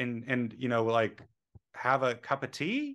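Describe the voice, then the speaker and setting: A man speaks in a normal speaking voice at a medium pitch, with ordinary pitch variation, against a quiet background. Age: 30s. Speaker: software developer. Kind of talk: casual chat. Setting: video call.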